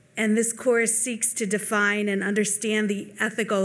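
A woman talks at a fairly slow pace. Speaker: religion instructor; speaker. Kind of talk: panel talk. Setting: stage with audience. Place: hall. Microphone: podium.

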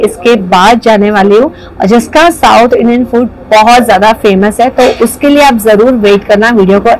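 A woman speaks at a fairly slow pace with ordinary pitch variation. There is light background noise. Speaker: food vlogger. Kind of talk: casual vlog chat. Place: cafe. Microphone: lapel.

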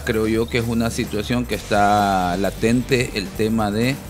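Clear music sits in the background. Over it, a man talks. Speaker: panelist. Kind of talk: commentary. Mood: serious, critical. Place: studio. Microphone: headset.

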